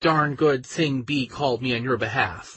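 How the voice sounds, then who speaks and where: Growling in a put-on character voice, the speaker goes at a moderate pace with ordinary pitch variation. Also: man. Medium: read story. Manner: warm, welcoming, motherly.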